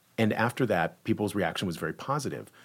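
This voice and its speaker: An ordinary speaking voice, a man's, fairly low in pitch with lively intonation at a moderate pace, on a very clean recording with a silent background. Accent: American. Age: 40s. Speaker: theatre director. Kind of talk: interview.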